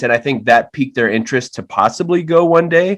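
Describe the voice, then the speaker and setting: A man with a Miami accent and ordinary pitch variation. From Miami, Florida (Hialeah). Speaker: writer and actor. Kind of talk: podcast interview. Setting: video call.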